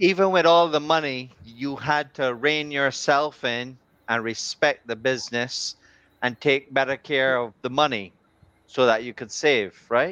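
A man with a bright, sharp tone and medium pitch speaks fairly slowly with ordinary pitch variation, the sound dry and close with no echo against a quiet background. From Barbados. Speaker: talk show co-host. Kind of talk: talk show hosting. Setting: live stream.

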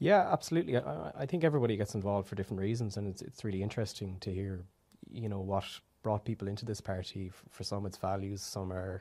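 Over a silent background in a very clean recording, a man talks at a very fast pace. His voice is fairly low, with a dark, mellow tone. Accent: western Irish. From Ireland, Galway. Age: 20s. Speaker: youth wing president. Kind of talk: interview conversation.

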